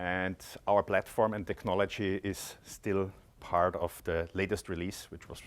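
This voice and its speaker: A man speaks at a moderate pace in a very deep, low, monotone voice with big swings in loudness, recorded very cleanly against a silent background. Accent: Austrian. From Austria, Graz. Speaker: tech company product executive. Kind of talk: conference presentation. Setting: conference stage with audience.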